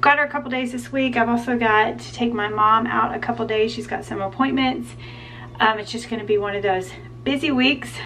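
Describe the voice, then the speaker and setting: A woman talks at a fairly quick pace with big swings in loudness over light background noise. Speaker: homemaking vlogger. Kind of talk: casual vlog chat. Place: home room.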